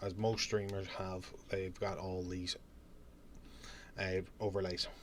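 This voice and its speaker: A man with a Northern Irish accent speaks in a very deep, low pitch, fairly slowly and with monotone, flat intonation. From Northern Ireland. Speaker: streamer and YouTuber. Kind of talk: tutorial. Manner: casual.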